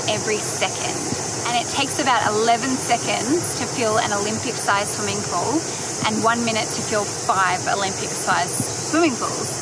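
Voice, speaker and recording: Loud background noise surrounds a woman speaking at a moderate pace. The sound is dry with no echo. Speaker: travel vlogger. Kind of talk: casual vlog chat. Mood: enthusiastic, awed. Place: waterside. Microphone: phone near.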